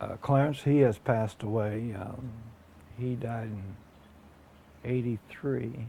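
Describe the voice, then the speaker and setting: With an American accent and a dark, mellow tone, the speaker talks at a very slow pace, leaving long, frequent pauses, sounding somewhat breathy, keeping a fairly even intonation while the loudness swings widely. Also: man, medium pitch for a man. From southeastern Ohio, US. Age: 60s. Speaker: oral history interviewee. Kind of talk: oral history interview. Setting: at his home. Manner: halting, many fillers.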